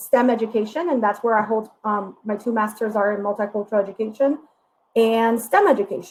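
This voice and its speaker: Fairly quick speech from a woman with a Spanish accent, fairly high in pitch, with ordinary pitch variation. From Puerto Rico. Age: 30s. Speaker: diversity educator. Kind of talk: workshop presentation. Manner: hesitant, frequent fillers.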